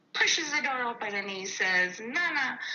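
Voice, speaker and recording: A woman's fairly high, lively voice at a fairly slow pace, over noticeable background noise. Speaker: storyteller sharing paranormal experiences. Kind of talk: storytelling. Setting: phone call.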